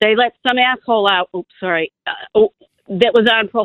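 With an unremarkable speaking voice, a woman talks at a fairly quick pace and fairly high pitch, with ordinary pitch variation. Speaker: caller. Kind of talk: call-in talk radio. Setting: phone call. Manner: emotional.

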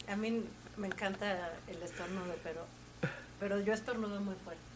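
In a room with audible echo and noticeable background noise, a woman speaks at a moderate pace and medium pitch with monotone, flat intonation. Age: 40s. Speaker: guest. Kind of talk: casual chat.

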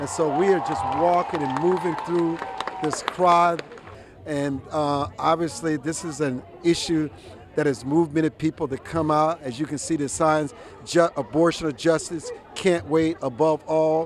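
Over noticeable background noise, a man with a fairly high pitch and ordinary pitch variation speaks at a fairly slow pace. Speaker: street interviewer, host. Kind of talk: street interview, reporting. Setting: outdoors, crowd in front of court.

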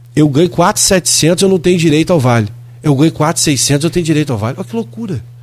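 This man speaks in an animated tone. His pitch swings very widely. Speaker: city councillor. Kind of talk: radio political interview.

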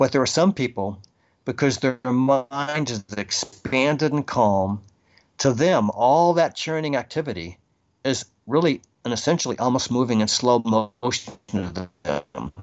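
With an American accent, a man talks at a fairly slow pace in a plain, everyday voice. His pitch is medium and his intonation is lively. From Boston, Massachusetts. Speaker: video game record keeper. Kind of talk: interview conversation.

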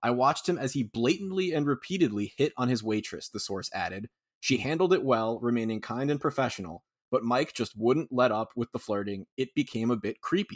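An unremarkable speaking voice from a man at medium pitch and a fairly quick pace, dry, close sound with no echo, very clean recording, silent background. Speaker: sports podcaster. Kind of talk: casual chat.

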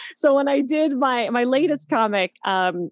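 A woman with a Canadian accent speaks with very wide pitch swings. The sound is dry and close with no echo, over a quiet background. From Canada, East Coast. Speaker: actress and writer. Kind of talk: casual interview chat.

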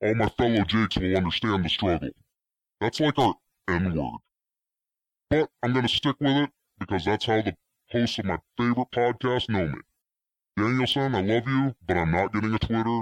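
A guttural male voice with lively intonation, very even loudness and a moderate pace, broken by long, frequent pauses, in a dry, close sound with no echo. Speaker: caller. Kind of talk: voicemail message. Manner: disguised deep throaty voice.

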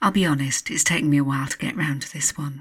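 A woman speaks in a very deep, low, somewhat breathy voice with a gentle, soothing tone. The recording is very clean, with a silent background. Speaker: hypnotherapist. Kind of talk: guided hypnosis relaxation session. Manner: slow, soothing, calm; gentle, repetitive, hypnotic pacing.

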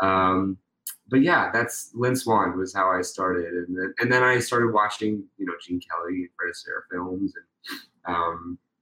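A man's fairly low voice with an American accent, a bright, sharp tone and ordinary pitch variation at a fairly slow pace. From Pittsburgh, Pennsylvania. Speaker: tap dancer and actor. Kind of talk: casual interview.

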